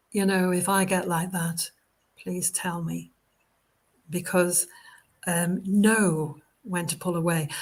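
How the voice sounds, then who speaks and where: Somewhat breathy and fairly low-pitched, a woman talks at a very slow pace in a flat monotone, leaving long, frequent pauses. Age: 70s. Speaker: spiritualist medium and minister. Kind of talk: casual interview chat. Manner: hesitant, many fillers.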